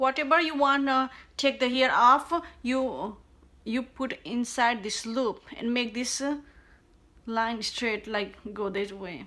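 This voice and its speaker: Speaking at a very slow pace with a non-native accent, a woman uses a high pitch, a bright, sharp tone and ordinary pitch variation. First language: not English. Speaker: beauty tutorial creator. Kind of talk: casual tutorial talk to camera.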